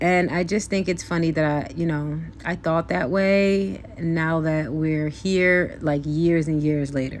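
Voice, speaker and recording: A woman with a very deep, low pitch speaks at a fairly slow pace with hardly any pauses. Her intonation is fairly even, her loudness very even, and audible room echo is present. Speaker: beauty vlogger. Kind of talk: casual chat.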